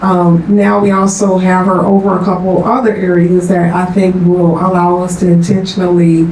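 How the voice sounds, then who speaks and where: Delivered at a moderate pace in a monotone, flat intonation with hardly any pauses, the speech carries noticeable background noise and audible room echo. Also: woman. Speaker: college administrator. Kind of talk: board meeting discussion. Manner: soft-spoken.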